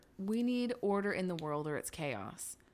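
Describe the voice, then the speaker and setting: Speaking with an unremarkable speaking voice, a woman delivers her words with lively intonation, holding a medium pitch and a moderate pace. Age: 40s. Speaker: podcast co-host. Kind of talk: casual chat.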